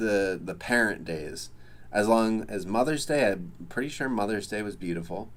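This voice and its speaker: The recording carries audible room echo. A man speaks at a medium pitch. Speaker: livestreamer. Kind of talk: casual chat. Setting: livestream. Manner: scattered, many fillers.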